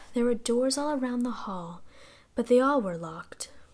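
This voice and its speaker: A soft-spoken woman talks in a fairly high pitch. Her pitch variation is ordinary. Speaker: ASMR reader. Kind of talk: sleep story. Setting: binaural recording.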